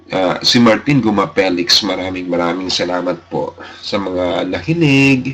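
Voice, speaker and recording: Against noticeable background noise, a man with a very deep, low pitch speaks at a fairly slow pace with ordinary pitch variation. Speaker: radio host. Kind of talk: radio show sign-off chat. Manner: halting.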